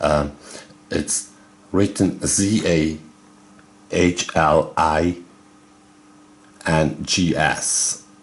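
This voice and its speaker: With music in the background, a man with a German accent speaks in a very deep, low pitch, his intonation fairly even and his delivery broken by long, frequent pauses. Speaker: video game YouTuber. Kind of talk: casual video commentary. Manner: halting, many fillers.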